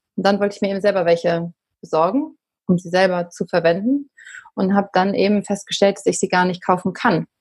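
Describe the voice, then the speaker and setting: A woman talks at a medium pitch with a somewhat breathy voice. Her pace is fairly quick. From Berlin, Germany. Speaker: company founder. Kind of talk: podcast interview. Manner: conversational, many fillers.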